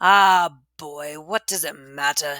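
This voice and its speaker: The voice is a put-on character voice. It sits at a middle pitch. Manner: soft, sly, condescending.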